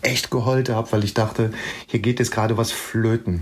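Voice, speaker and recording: A man speaks at medium pitch and a moderate pace. His voice is somewhat breathy. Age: 50s. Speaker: music journalist and author. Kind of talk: casual interview chat.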